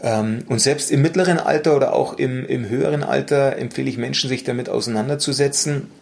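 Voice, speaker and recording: A man talks at a fairly quick pace with hardly any pauses. Noticeable background noise runs underneath. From Bavaria, Munich. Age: 40s. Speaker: mental coach. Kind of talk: interview conversation. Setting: office meeting room. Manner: calm, measured.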